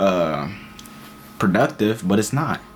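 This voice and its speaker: Background music beneath a man's fairly low-pitched voice. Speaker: motivational vlogger. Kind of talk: motivational talk to camera. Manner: casual, repetitive fillers.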